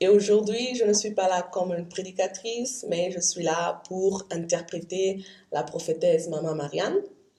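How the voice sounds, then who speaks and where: A woman at a medium pitch and fairly slow pace, with ordinary pitch variation. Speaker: interpreter. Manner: halting, with false starts.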